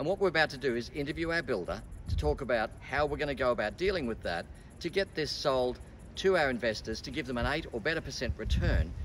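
Lively intonation and vocal fry run through very fast speech. Light background noise sits behind it. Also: man. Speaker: presenter. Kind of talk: presentation to camera. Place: street.

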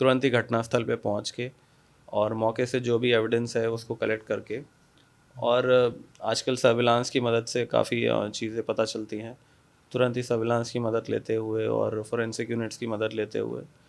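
At a fairly slow pace, a man speaks in a medium pitch with monotone, flat intonation. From India, Kanpur, Uttar Pradesh; Uttar Pradesh, India. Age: 20s. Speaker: police officer. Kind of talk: interview. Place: office. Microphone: handheld.

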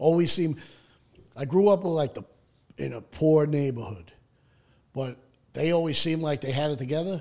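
A man with a New York accent talks at a moderate pace in a fairly high pitch, with ordinary pitch variation and long, frequent pauses. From Staten Island, New York City. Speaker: person in addiction recovery. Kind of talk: personal recovery story in interview.

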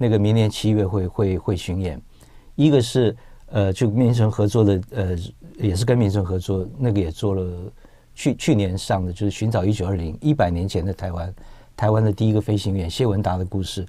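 A man's fairly low voice with ordinary pitch variation, a dark, mellow tone and a moderate pace. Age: 50s. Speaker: film producer; guest. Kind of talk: radio interview. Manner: halting. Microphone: lapel.

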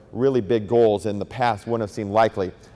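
At a very fast pace, a man with a fairly low pitch speaks in a dark, mellow tone with fairly even intonation. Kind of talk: public speech. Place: hall. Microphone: handheld.

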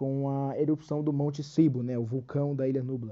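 Moderate pace from a man with a fairly high voice. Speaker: YouTuber. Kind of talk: casual video explainer. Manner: hesitant, filler-heavy; reading from script at times.

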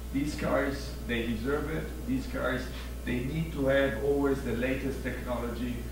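A man's monotone, flat delivery at a moderate pace, with noticeable background noise and audible room echo. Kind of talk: corporate presentation. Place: stage.

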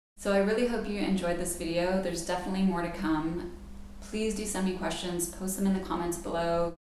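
Light background noise and audible room echo accompany a woman talking at a fairly quick pace, her fairly low voice held to fairly even intonation. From Bermuda. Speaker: yoga teacher and relocation author; yoga teacher. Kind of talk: video tutorial; casual vlog chat. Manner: casual with frequent fillers. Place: home room. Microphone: camera far.

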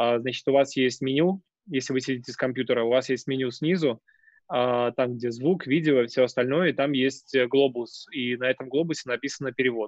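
Against a quiet background, the speech runs very fast with fairly even intonation. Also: man, medium pitch for a man, dry sound with no echo. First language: Russian. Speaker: webinar host and moderator; webinar host, moderator. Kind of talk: webinar moderation. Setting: video call. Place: home room. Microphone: video call.

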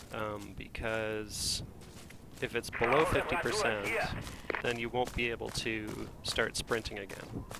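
Noticeable background noise behind a man at medium pitch, very slow in pace, his intonation fairly even. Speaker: gamer / game tutorial commentator. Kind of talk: casual gaming chat, tips. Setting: online voice chat while gaming.

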